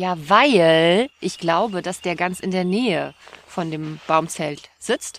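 A woman talks very slowly, her fairly low voice showing ordinary pitch variation. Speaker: podcast co-host. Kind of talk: casual chat. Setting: outdoors.

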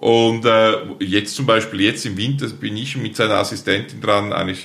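With audible room echo and noticeable background noise, a man speaks at a moderate pace with lively intonation. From eastern Switzerland, St. Gallen Rheintal. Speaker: plant breeder and nursery company founder. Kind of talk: interview conversation.

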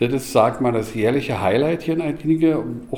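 A man with a fairly high pitch, amid noticeable background noise and audible room echo. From Berlin. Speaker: restaurant owner. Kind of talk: interview.

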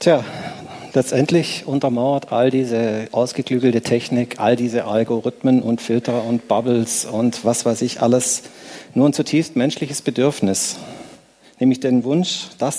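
Speaking at a fairly slow pace, a man with a medium-pitched voice keeps his intonation fairly even. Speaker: conference speaker. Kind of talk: lecture. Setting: stage with audience.

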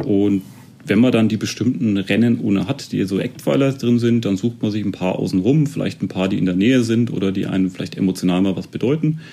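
Fairly low in pitch, a man's voice carries a dark, mellow tone. He moves at a fairly quick pace with ordinary pitch variation. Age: 30s. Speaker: amateur marathon runner. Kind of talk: interview.

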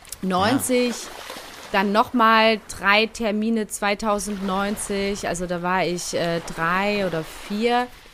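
Over noticeable background noise, a woman with a medium pitch speaks at a very slow pace with fairly even intonation. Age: 30s. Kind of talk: casual chat.

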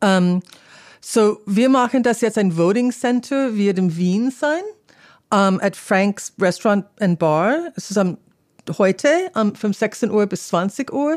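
On a very clean recording with a silent background, a woman speaks at a very slow pace with an English accent. Her medium-pitched voice has lively intonation. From US, California. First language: English (speaking German). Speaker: political organization representative. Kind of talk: interview. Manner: halting.

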